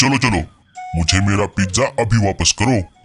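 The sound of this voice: A man's cartoonish character voice, fairly low in pitch, with faint music in the background. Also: moderate pace.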